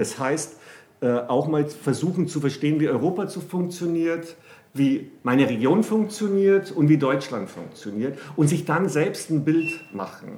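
Here a man speaks with a dark, mellow tone and a fairly high pitch. His pace is fairly slow, with ordinary pitch variation. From Bavaria, Germany. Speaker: economics professor. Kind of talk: interview. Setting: office. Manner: lively.

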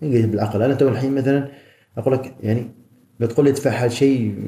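The voice is dark and mellow, somewhat breathy, and moves at a fairly quick pace. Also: man. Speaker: professional bodybuilder. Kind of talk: casual interview. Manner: animated.

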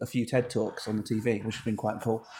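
Here a man speaks with a British accent. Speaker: podcast host, web business owner. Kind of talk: casual chat.

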